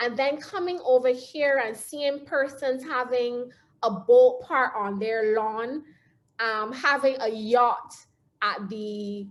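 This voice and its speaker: Speaking at a very slow pace, a woman with a Barbadian accent has a high pitch and ordinary pitch variation. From Barbados. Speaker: motivational speaker. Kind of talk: talk.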